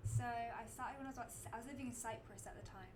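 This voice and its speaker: A woman with a southern English accent is heard with audible room echo and noticeable background noise. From England. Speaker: college athlete. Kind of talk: interview. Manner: casual, hesitant with fillers.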